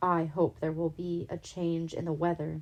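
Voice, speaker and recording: Using a gruff, put-on character voice, a woman with a fairly low pitch speaks at a moderate pace. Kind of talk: bedtime story. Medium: read story.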